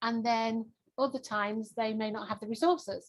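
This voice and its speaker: Somewhat breathy, a woman with a strong English accent speaks at a fairly high pitch and moderate pace, with ordinary pitch variation. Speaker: pharmaceutical launch consultant. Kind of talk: networking self-introduction.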